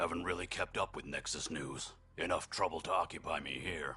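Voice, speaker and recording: Putting on a character voice, a man speaks in a raspy, very deep, low pitch at a fairly quick pace. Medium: video game. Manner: dry, sardonic.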